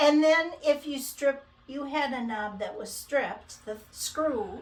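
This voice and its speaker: Over noticeable background noise, a woman with a Minnesota accent speaks at a very slow pace in a high pitch, with ordinary pitch variation and big swings in loudness. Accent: Midwestern (Minnesota). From Minnesota, US Midwest. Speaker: cross-stitch video host. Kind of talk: casual chat.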